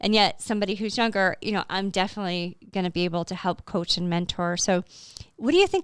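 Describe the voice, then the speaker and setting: In a normal speaking voice, a woman talks at a medium pitch and fairly quick pace with fairly even intonation, in a very clean recording with a silent background. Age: 50s. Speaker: podcast host. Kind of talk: podcast interview.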